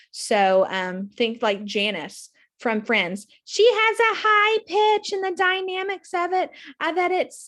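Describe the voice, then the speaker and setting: A woman speaks at an extremely high pitch. Her pitch swings very widely. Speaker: theatre instructor. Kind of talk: lecture. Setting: recorded video lecture. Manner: fast.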